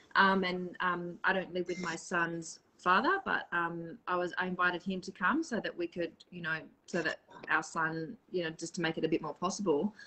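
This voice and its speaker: At a moderate pace, a woman with an Australian accent speaks with a fairly low pitch and fairly even intonation over noticeable background noise. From Australia, Perth. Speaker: spiritual live streamer. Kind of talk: casual chat. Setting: live video stream.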